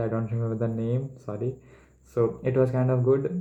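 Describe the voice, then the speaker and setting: With an Indian accent, a man speaks at medium pitch in a dark, mellow tone. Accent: Indian English, Hindi-speaking. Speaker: medical entrance exam student. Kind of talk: casual study vlog talk to camera. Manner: stuttering, hesitant.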